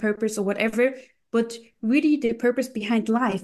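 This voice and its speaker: In a German accent, a woman speaks at a moderate pace with a fairly high pitch and ordinary pitch variation. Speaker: crypto investor and coach. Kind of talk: casual chat.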